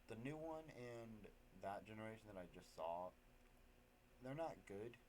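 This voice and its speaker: Speaking fairly slowly with an American accent, a man with a fairly low voice makes very wide pitch swings. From Maine, US. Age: 20s. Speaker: car spotting YouTuber. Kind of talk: casual commentary. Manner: stuttering, repetitive.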